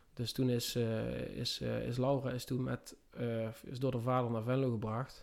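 A man's medium-pitched voice, monotone and flat in intonation. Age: 30s. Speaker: construction worker. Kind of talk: casual interview. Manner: halting.

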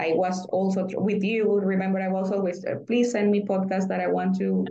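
There is audible room echo and noticeable background noise as a woman speaks at a moderate pace and a medium pitch. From Nicaragua. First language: Spanish. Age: 30s. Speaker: former diplomat, market analyst. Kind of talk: interview conversation. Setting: remote call. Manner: halting.

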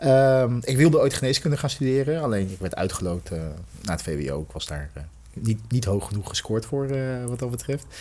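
A man speaks at a moderate pace with a medium pitch. His voice is somewhat breathy. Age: 40s. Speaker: executive in health technology. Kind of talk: podcast interview. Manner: halting, many fillers.

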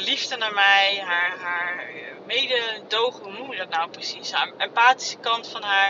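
A woman speaks at a fairly slow pace, her fairly high pitch showing ordinary variation. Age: 30s. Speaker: podcaster. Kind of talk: personal monologue. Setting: in a car. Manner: halting. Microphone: phone mic.

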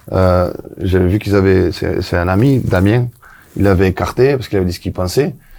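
This man, with a southern French accent, has a very deep, low pitch and a dark, mellow tone. He talks at a fairly quick pace with ordinary pitch variation. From southwest France. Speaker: former footballer and coach. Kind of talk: casual chat.

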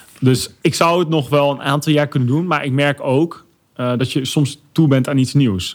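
The speaker has a plain, everyday voice with ordinary pitch variation. The pace is moderate. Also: man. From Netherlands, Arnhem. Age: 30s. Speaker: YouTuber and influencer. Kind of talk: podcast interview.

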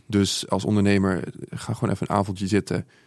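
A man speaks fairly quickly in a plain, everyday voice, pitched fairly low. The recording is very clean, with a silent background. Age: 20s. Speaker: social media entrepreneur. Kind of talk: casual interview. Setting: studio.

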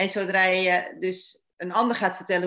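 A woman's voice at medium pitch. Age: 50s. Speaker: relationship therapist. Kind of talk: interview. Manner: halting, many repetitions.

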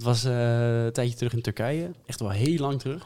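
His voice sits at a medium pitch for a man, dark and mellow in tone, with fairly even intonation. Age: 20s. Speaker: podcast host. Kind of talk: casual chat.

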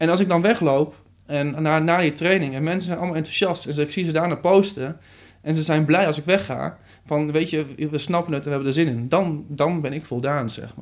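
A man speaks in a normal speaking voice at a fairly quick pace. His pitch is fairly high, with ordinary pitch variation. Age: 20s. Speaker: social media coach and trainer. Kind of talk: interview conversation.

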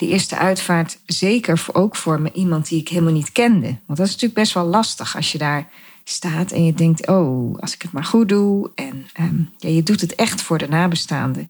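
In a somewhat breathy, fairly low voice, a woman speaks at a moderate pace with ordinary pitch variation. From Netherlands, Gelderland (Dieren). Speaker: podcast host, photographer and designer. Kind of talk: personal monologue.

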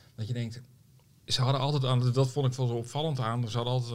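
A very fast, somewhat breathy male voice. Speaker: journalist and author. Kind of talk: casual chat.

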